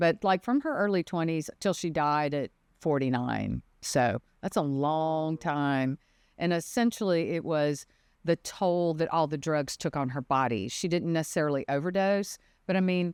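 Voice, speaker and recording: Over a quiet background, a woman with a Mississippi accent and a very deep, low pitch talks at a moderate pace with ordinary pitch variation. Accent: Southern (Mississippi). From Mississippi, US South. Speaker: defense attorney, former prosecutor. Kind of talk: podcast interview.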